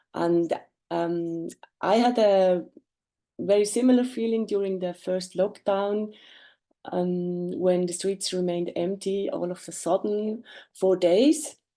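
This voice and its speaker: A woman with a German accent at a very slow pace, medium in pitch with a dark, mellow tone, with long, frequent pauses. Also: ordinary pitch variation. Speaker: artist and lawyer presenting a project. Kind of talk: webinar presentation. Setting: video call. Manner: halting, many fillers.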